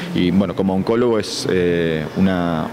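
Noticeable background noise sits under this man's voice. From Argentina, Buenos Aires. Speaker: oncologist. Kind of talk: news interview. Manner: halting, with frequent repetitions. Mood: calm, pleased. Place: hall. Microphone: handheld.

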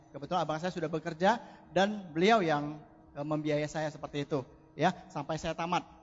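A man with an unremarkable speaking voice talks at a fairly quick pace, his pitch fairly high and his intonation fairly even. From Indonesia, Medan (North Sumatra). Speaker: network marketing distributor. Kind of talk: motivational testimony on stage.

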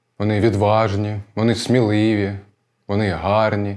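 At a very slow pace, a man speaks in a dark, mellow tone with a fairly low pitch. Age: 20s. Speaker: stage actor. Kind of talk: actor self-presentation.

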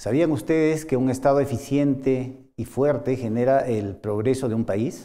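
A man speaks at a fairly slow pace in a dark, mellow tone with ordinary pitch variation. The background is quiet. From Peru. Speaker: university lecturer. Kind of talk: course introduction lecture. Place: studio.

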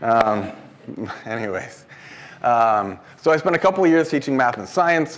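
With an American accent, a man speaks at a moderate pace using lively intonation. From Washington State, US. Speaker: engineering professor. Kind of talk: lecture. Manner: casual, with frequent filler ums. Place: classroom.

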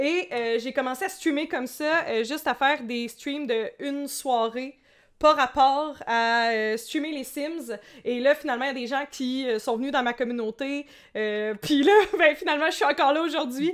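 Pitched high, a woman's voice shows ordinary variation in its melody. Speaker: streamer, podcast host. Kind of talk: casual chat.

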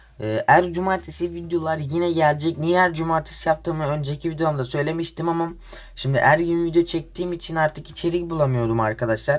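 Speaking at a fairly quick pace with hardly any pauses, a man uses a fairly high pitch and ordinary pitch variation. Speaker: gaming youtuber. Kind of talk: casual gameplay commentary.

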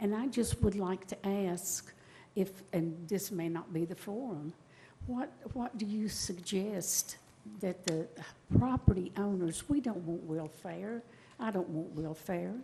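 The voice has a dark, mellow tone and is somewhat breathy. It moves at a fairly slow pace with ordinary pitch variation. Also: woman, medium pitch for a woman. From East Tennessee (Bristol). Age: 70s. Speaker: retired resident, public commenter. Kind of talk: public comment plea. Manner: halting, repeating words; pleading, emotional.

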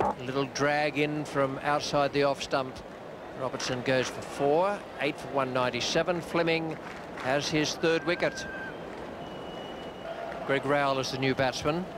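With noticeable background noise, a man talks at a fairly slow pace with long, frequent pauses, and the sound is dry with no echo. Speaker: cricket TV commentator. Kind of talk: commentary. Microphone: old recording.

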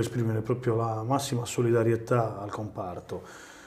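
Here a man talks at a moderate pace and medium pitch. His intonation is flat and monotone. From Sardinia. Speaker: mayor and regional election candidate; guest. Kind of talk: political interview. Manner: halting, repeats words. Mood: earnest, persuasive. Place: studio. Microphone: lapel.

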